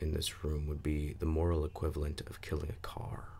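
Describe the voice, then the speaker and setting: Soft-spoken and calm, a man with a gravelly, very deep voice talks over noticeable background noise. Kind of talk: ASMR book reading. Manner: soft-spoken, calm.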